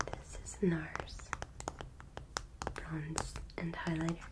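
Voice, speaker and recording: A woman talks very slowly as loud noise fills the background. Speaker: ASMR artist. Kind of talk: ASMR personal attention role play. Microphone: studio mic.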